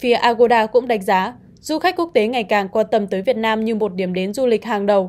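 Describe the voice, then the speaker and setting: A woman talks fairly quickly with hardly any pauses, her pitch fairly high with ordinary variation. Hers is a plain, everyday voice. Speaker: news presenter. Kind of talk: news reading. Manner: formal.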